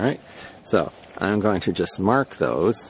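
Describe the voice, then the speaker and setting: A man's very deep, low voice at a very slow pace, with very wide pitch swings over noticeable background noise. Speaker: slingshot hobbyist video maker. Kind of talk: casual tutorial demonstration. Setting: outdoors.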